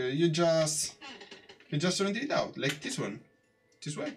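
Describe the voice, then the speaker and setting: Music plays in the background. A man is speaking. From Italy. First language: Italian. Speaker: 3D artist live streamer. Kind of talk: live tutorial stream. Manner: halting, many fillers.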